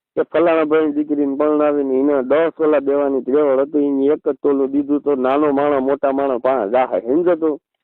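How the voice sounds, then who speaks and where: This man's voice sits fairly high in pitch, with very even loudness and a monotone, flat intonation. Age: 40s. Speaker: community elder. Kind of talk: phone call.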